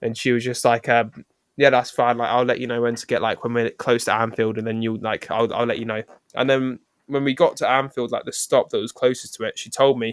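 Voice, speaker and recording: A man with an English accent speaks at a fairly quick pace, and the sound is dry and close with no echo. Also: medium pitch for a man. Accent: non-Scouse English. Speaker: podcast co-host. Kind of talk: casual chat. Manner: halting, many fillers; animated.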